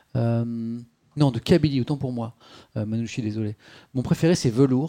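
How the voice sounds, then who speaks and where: On a very clean recording with a silent background, a man speaks at a moderate pace. His medium-pitched voice has a dark, mellow tone and ordinary pitch variation. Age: 40s. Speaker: streamer and interviewer. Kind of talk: live-stream interview. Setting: home live stream with webcam.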